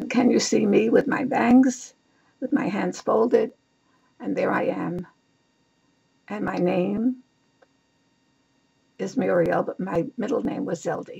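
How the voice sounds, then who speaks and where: Speaking with a New York accent, a woman talks at a fairly slow pace, leaving long, frequent pauses. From New York City, Lower East Side of Manhattan. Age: 80s+. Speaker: author. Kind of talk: reading aloud.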